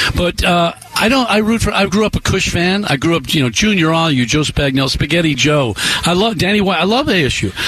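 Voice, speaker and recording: Over noticeable background noise, a man with a high voice talks at a fairly quick pace with lively intonation, very even loudness and hardly any pauses. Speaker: sports broadcaster. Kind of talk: sports talk radio. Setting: radio studio.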